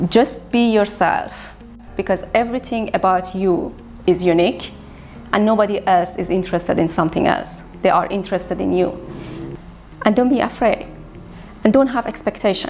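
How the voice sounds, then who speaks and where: A woman with a Persian accent, medium pitch, ordinary pitch variation, a moderate pace and long, frequent pauses, with music in the background. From Iran. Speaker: visual artist. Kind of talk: interview monologue.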